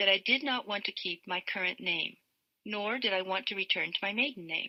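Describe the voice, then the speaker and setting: Her pitch medium and varying in an ordinary way, a woman speaks at a moderate pace in an unremarkable speaking voice. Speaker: author. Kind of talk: audiobook reading.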